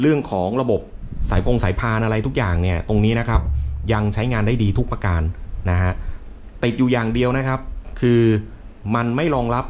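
Light background noise accompanies a man whose pitch varies in an ordinary way. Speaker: tech reviewer. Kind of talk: tutorial. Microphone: phone near.

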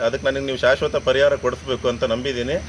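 A man speaks over noticeable background noise. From Sagar, Shivamogga district, Karnataka. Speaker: local resident complaining. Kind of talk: public complaint to camera.

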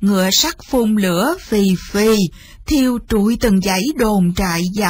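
A woman of medium pitch talks at a fairly slow pace with ordinary pitch variation.

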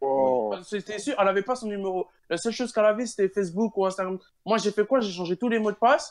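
A man speaks at a very fast pace in a high pitch with ordinary pitch variation. The sound is dry and close, with no echo. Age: 20s. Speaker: university student. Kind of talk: casual chat. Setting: online voice chat.

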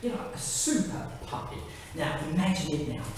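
A man talks at a moderate pace. Strong room echo and noticeable background noise fill the recording. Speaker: amateur actor. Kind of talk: theatrical monologue rehearsal. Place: hall. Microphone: camera far.

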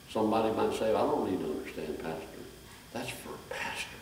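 Whispering at a moderate pace, a man speaks. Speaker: preacher. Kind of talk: sermon. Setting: church with congregation. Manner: animated, exhorting the congregation with call-and-response, raised voice; fervent, repetitive, direct. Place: church. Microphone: camera far.

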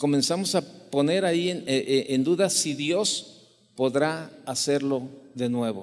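A man with a fairly high pitch and ordinary pitch variation talks at a very slow pace. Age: 60s. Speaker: preacher. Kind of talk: sermon, preaching with personal anecdotes and Bible reading. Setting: church, evening service. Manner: conversational, folksy storyteller, with frequent fillers and repeated words; warm, reflective, fervent in closing prayer. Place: church. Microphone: handheld.

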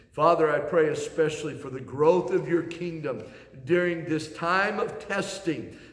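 Amid audible room echo, a man with a high pitch and ordinary pitch variation speaks at a moderate pace, his loudness swinging widely. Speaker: pastor. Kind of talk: sermon. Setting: church sanctuary, recorded video. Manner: earnest, steady preacher's delivery with pauses and repeated phrases. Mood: earnest, heartfelt. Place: church. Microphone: camera far.

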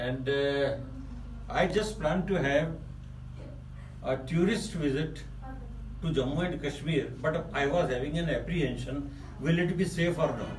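A man with an Indian accent and a fairly high pitch talks at a fairly slow pace, with long, frequent pauses and ordinary pitch variation. Audible room echo and light background noise surround his voice. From Rajasthan, India. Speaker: tourist giving a testimonial. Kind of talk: testimony. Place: office. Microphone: phone near.

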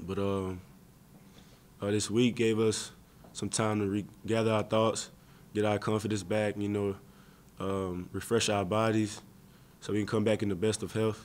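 The delivery is monotone and flat, broken by long, frequent pauses. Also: man, fairly low pitch for a man, moderate pace. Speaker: college football player. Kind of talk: press interview. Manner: halting, many fillers. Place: meeting room. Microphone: podium.

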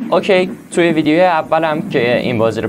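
With light background noise, a man talks at a very fast pace using lively intonation. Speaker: gaming youtuber. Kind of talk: gaming commentary. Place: home room.

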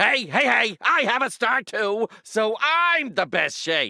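A woman's put-on character voice, fairly high and bright, sharp in tone, with vocal fry, big pitch swings, and a slow pace

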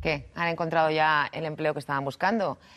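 A woman speaks against a quiet background. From Spain. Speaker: TV presenter. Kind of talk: TV magazine presenting. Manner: lively. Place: studio. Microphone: lapel.

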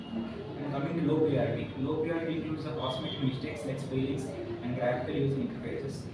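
A man talking at a fairly quick pace, with audible room echo and loud background noise. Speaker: candidate. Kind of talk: interview answer. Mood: calm, slightly nervous. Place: office. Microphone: camera far.

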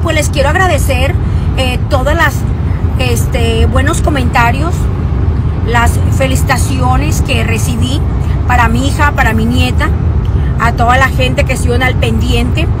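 A woman speaks at a fairly slow pace with long, frequent pauses. The sound is dry with no echo, under loud background noise. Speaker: social media creator. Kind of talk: casual vlog chat. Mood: warm, grateful. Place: car. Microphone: phone near.

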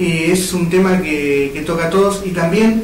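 A man with a fairly high pitch talks at a fairly slow pace with ordinary pitch variation, and audible room echo surrounds him.

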